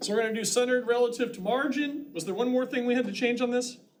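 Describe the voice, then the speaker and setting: Audible room echo surrounds a man whose voice is extremely high-pitched for a man. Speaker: college instructor. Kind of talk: lecture. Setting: classroom with students.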